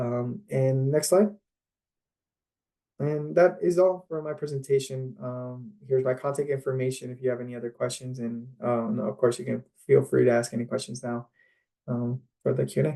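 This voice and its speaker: This man's voice sits at a medium pitch with a dark, mellow tone. His pitch varies in an ordinary way. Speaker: community outreach presenter. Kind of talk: presentation. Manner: fast.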